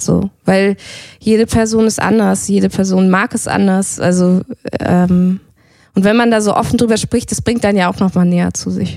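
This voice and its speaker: A woman talks at a moderate pace in a medium pitch. Her tone is dark and mellow, and her intonation is fairly even. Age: 30s. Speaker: yoga teacher. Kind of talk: casual chat.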